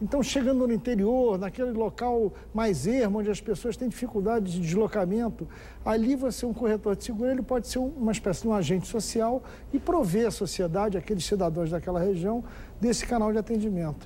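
A dark, mellow voice moves at a fairly quick pace with ordinary pitch variation over light background noise. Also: man, high pitch for a man. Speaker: guest. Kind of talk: interview answer. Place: studio. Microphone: lapel.

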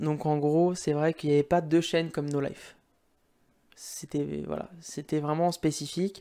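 A man with a fairly high pitch and a dark, mellow tone, flat and monotone at a fairly slow pace, over a quiet background. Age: 20s. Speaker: gaming YouTuber. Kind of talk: casual monologue to camera. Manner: halting, many fillers. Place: home room. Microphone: studio mic.

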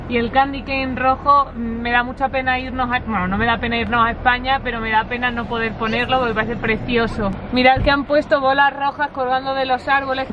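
A woman's high-pitched voice, monotone and flat, with hardly any pauses and crowd noise in the background. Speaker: vlogger. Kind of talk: casual vlog chat. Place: car. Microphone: phone near.

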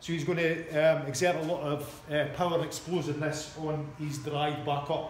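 Light background noise and audible room echo surround a man as he talks. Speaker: coach. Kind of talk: tutorial. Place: gym. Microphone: camera far.

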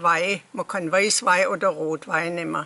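Bright and sharp in tone, a woman's voice moves with ordinary pitch variation. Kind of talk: casual recipe explanation.

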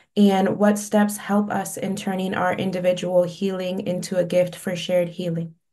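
Flat, monotone delivery with hardly any pauses against a quiet background. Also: woman, moderate pace. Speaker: community organizer. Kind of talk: audience question. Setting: video call. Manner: halting. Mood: earnest, reflective. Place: home room. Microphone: video call.

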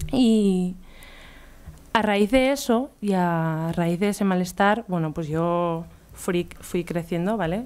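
Her voice sitting fairly low, a woman talks very slowly, her pitch varying in an ordinary way. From Catalonia, near Barcelona. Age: 20s. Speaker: illustrator and artist; speaker. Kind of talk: conference talk. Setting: stage with audience. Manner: casual, hesitant. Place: hall. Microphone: podium.

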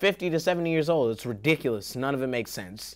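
A man speaks with very wide pitch swings. The background is quiet. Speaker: comedy show host. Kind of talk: comedic show intro outtakes. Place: studio.

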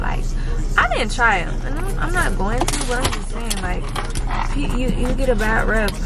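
Music plays in the background as a woman speaks at a moderate pace. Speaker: vlogger. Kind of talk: casual vlog chat. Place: car. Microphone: phone near.

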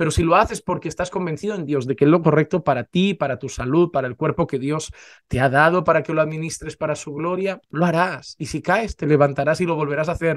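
The background is quiet as a man speaks at a fairly quick pace. His pitch is fairly high with ordinary variation. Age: 30s. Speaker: pastor. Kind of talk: sermon. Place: home room. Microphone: studio mic.

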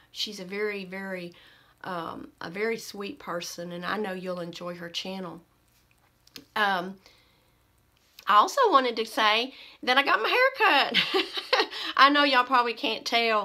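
Over a quiet background, a woman speaks in a bright, sharp tone at a fairly high pitch and a fairly slow pace, with lively intonation and long, frequent pauses. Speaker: beauty vlogger. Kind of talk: casual chat. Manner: halting. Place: home room. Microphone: phone near.

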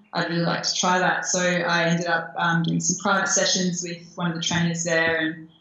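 A woman speaks with monotone, flat intonation at a fairly low pitch. Audible room echo surrounds her voice. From Australia. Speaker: Muay Thai fighter and model. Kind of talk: interview. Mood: friendly, relaxed. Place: home room. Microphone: video call.

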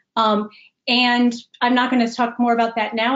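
A woman with an American accent, fairly high pitch and monotone, flat intonation against a quiet background. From US Midwest, Chicago. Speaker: executive coach. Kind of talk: webinar presentation. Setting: video call. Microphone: webcam.

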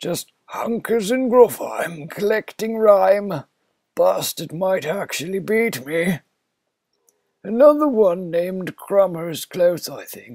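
A man speaks at a fairly slow pace in a put-on character voice pitched high. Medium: game stream.

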